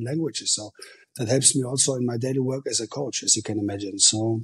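A man's somewhat breathy voice with a German accent. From Germany, Ruhr area. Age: 40s. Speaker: football coach. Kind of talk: interview.

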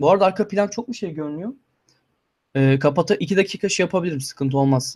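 The background is silent and the recording very clean. A man's intonation is lively, his pace very fast. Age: 20s. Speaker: YouTuber and master's student. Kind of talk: livestream Q&A chat.

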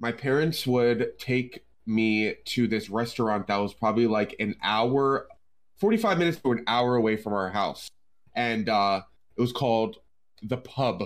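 A man talks at a moderate pace with medium pitch, ordinary pitch variation and very even loudness, in a plain, everyday voice. The recording is very clean, with a silent background. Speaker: drummer, gamer and streamer. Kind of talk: casual chat.

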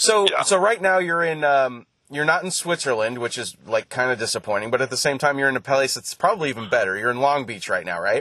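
A man with a fairly high voice talks at a very fast pace with hardly any pauses. His pitch swings very widely. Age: 40s. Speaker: podcast host. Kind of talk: casual chat.

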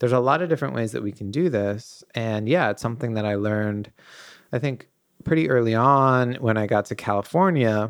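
A man with a normal speaking voice talks at medium pitch and a fairly quick pace. His pitch variation is ordinary, and the background is quiet. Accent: American. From New England, US. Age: 30s. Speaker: artist and entrepreneur, host's partner. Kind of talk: casual chat.

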